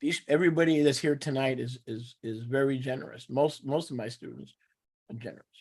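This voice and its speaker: A man with an American accent talks at a fairly quick pace and a medium pitch, using an unremarkable speaking voice. His loudness swings widely while his pitch varies in an ordinary way. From New York. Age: 60s. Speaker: teacher of a religious assembly. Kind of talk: teaching with live interpretation. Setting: video call.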